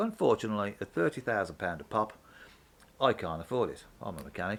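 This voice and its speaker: Speaking with a Brummie accent, a man keeps a fairly quick pace. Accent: Brummie (Birmingham) English. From Birmingham, England. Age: 60s. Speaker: mechanic and vlogger. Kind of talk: opinion vlog. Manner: casual, hesitant with fillers.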